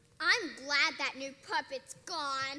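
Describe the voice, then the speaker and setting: A high-pitched, whiny put-on character voice. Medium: stage play. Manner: whiny, petulant.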